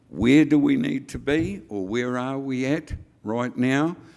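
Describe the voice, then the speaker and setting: The speaker has a New Zealand accent. The pace is fairly slow. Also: man. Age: 70s. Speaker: hemp industry association chair. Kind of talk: conference speech. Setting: stage with audience.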